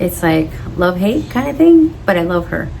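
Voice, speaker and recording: An animated woman's voice, fairly low in pitch, with audible room echo and noticeable background noise. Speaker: orchid hobbyist vlogger. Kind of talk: casual vlog talk to camera. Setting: outdoors on patio. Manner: variable volume, sometimes quiet.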